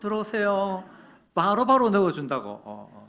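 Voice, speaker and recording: A high-pitched man's voice at a moderate pace, with audible room echo. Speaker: guest preacher, seminary professor. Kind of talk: sermon. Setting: church. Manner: hesitant, many fillers.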